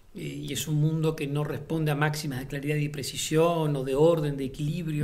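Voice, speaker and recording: The room echo is audible. A man speaks at a moderate pace and fairly high pitch. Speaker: playwright and theatre director. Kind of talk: interview monologue. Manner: hesitant, many fillers and repeated words.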